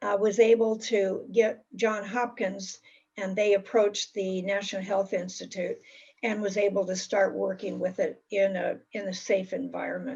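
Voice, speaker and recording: In a somewhat breathy voice of medium pitch, a woman speaks at a moderate pace with monotone, flat intonation. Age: 70s. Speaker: talk presenter in a discussion circle. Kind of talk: prepared talk. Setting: video call.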